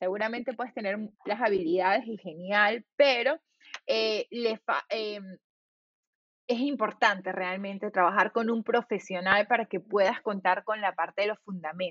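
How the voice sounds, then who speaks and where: In an ordinary speaking voice, a woman of medium pitch talks at a fairly slow pace with fairly even intonation. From Venezuela (Valencia). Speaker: designer and entrepreneur. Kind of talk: interview.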